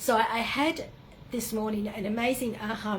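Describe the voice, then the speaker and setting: Over noticeable background noise, a woman with an Australian accent speaks at a fairly high pitch with fairly even intonation. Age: 70s. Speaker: spiritual retreat leader. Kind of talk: personal reflective monologue. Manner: halting, many fillers.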